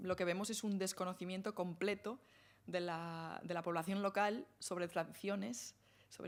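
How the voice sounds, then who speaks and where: This woman speaks with a Galician accent. Her pitch sits in the medium range. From Galicia, northern Lugo. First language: Galician (speaking Spanish). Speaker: academic speaker on translation and feminism. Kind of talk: Q&A after lecture. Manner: hesitant, many fillers.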